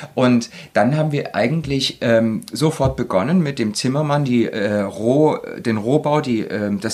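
A man speaks at a fairly slow pace, his medium pitch moving with ordinary variation. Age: 40s. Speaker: interior design engineer. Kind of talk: casual interview. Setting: on a houseboat. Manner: hesitant, many fillers.

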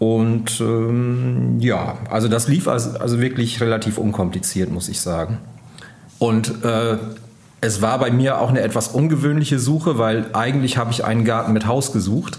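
Audible room echo surrounds a man talking at a moderate pace and medium pitch with ordinary pitch variation. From northern Germany, East Frisia. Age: 50s. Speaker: magazine editor-in-chief. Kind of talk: interview. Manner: hesitant, many fillers.

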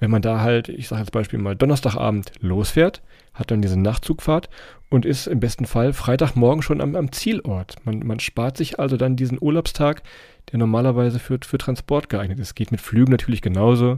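A man's dark, mellow voice at a fairly quick pace, on a very clean recording with a silent background. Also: medium pitch for a man, ordinary pitch variation. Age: 30s. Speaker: travel podcaster. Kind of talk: casual interview.

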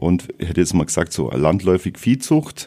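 This man's voice is very deep and low. It has vocal fry and a dark, mellow tone. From Bavaria, Ries area (Swabian-Bavarian). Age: 50s. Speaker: farmer. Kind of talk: interview. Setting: studio.

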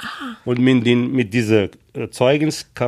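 A man is speaking. His voice has a medium pitch. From Morocco. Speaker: lifeguard and trained baker. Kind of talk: interview. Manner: halting.

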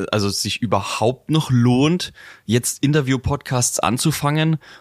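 A man's medium-pitched voice at a fairly slow pace, with ordinary pitch variation and a dry, close sound with no echo, on a very clean recording with a silent background. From Franconia, Germany. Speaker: podcast host. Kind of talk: interview.

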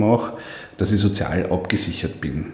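A man with an Upper Austrian accent at a fairly low pitch and moderate pace, with audible room echo and noticeable background noise. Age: 30s. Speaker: politician. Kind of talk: interview.

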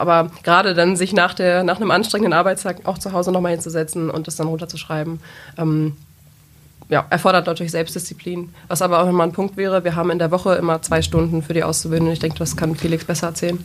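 A woman speaks at a very fast pace. Her intonation is monotone and flat. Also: fairly low pitch for a woman. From Lower Saxony, Germany (Peine region). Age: 20s. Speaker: sales employee, former dual-study business student. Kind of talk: podcast interview.

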